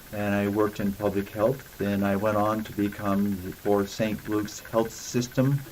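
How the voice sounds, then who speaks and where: A man speaks with an American accent at a moderate pace. Noticeable background noise is audible. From Idaho, US. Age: 70s. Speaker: city council candidate, retired Olympic athlete. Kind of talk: interview. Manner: hesitant fillers.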